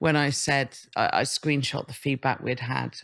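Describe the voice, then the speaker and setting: Speaking with an English accent, a woman uses monotone, flat intonation and vocal fry in a very clean recording with a silent background. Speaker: comedian and writer on social media. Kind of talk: casual chat interview. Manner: halting, repetitive.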